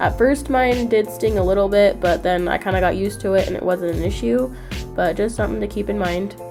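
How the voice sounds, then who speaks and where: A woman talks fairly quickly while music plays in the background. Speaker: beauty vlogger. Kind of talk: casual talk to camera.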